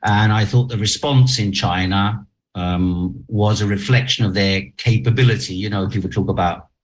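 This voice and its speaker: This man's voice is fairly low in pitch and somewhat breathy. He talks at a moderate pace with ordinary pitch variation. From half Chinese, half German heritage. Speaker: journalist. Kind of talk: interview. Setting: video call.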